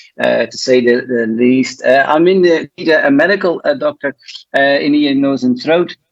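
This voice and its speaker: A fairly high-pitched man with a Dutch accent, a moderate pace and ordinary pitch variation. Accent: Dutch twang. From Belgium, Flanders. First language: Dutch (Flemish). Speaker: ENT doctor and singer. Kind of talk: panel discussion. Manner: halting, many fillers.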